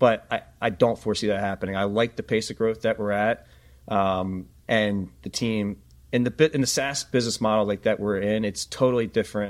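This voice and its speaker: A man with an American accent talks at a fairly quick pace in a normal speaking voice, fairly low in pitch. His intonation stays fairly even, and the recording is very clean with a silent background. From Philadelphia. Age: 40s. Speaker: data analytics company founder. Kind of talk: interview.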